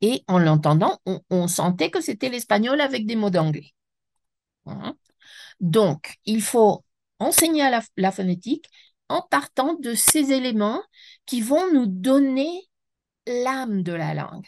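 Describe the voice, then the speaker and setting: Over a quiet background with a dry, close sound and no echo, a woman speaks at a very slow pace, pitched fairly high with very wide pitch swings and long, frequent pauses. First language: Spanish (speaking French). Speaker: French teacher trainer, speaker. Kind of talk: webinar lecture. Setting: online webinar. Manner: halting, with self-corrections.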